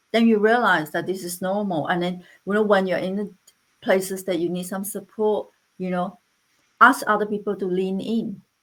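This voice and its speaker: With a non-native accent, a woman speaks at a moderate pace and medium pitch. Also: fairly even intonation. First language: not English. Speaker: interventional radiologist. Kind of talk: panel discussion. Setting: online live panel.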